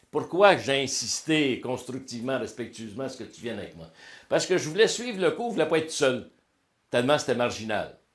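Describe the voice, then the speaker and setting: A man with a Quebec accent speaks fairly quickly at a medium pitch, his intonation lively. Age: 60s. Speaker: motivational speaker and coach. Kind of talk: interview testimony. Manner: casual, colloquial.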